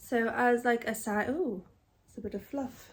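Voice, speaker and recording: A woman speaks with a British accent and ordinary pitch variation on a very clean recording with a silent background. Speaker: crochet vlogger. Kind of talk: casual vlog tutorial. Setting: in bed at home.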